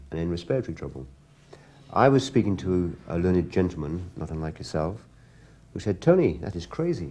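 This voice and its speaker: A man with an English accent and a very deep, low pitch speaks at a fairly quick pace in a dark, mellow tone, his lively intonation and big swings in loudness broken by long, frequent pauses. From England. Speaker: interviewer, pigeon fancier. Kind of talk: interview.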